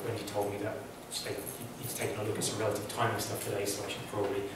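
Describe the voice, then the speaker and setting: Over loud background noise and audible room echo, a man talks at a very fast pace. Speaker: academic lecturer. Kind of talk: lecture. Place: hall. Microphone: camera far.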